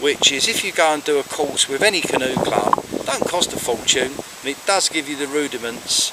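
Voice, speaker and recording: A man talks at a moderate pace in a fairly high pitch, with noticeable background noise behind him. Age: 60s. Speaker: kayaking hobbyist vlogger. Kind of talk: casual advice talk. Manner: hesitant, with many fillers.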